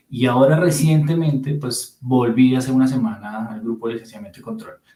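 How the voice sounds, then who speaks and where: A man speaks at a medium pitch and a fairly quick pace, with a Bogotá accent. His pitch varies in an ordinary way while his loudness swings widely. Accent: Bogotá Colombian. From Colombia, Bogotá. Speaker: physicist, radiation protection specialist. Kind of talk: interview conversation.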